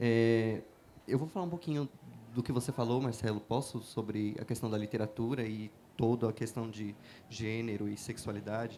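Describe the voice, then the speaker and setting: Dark and mellow in tone, a man speaks at a medium pitch and moderate pace with fairly even intonation. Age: 30s. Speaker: writer. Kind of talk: panel talk. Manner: halting with fillers.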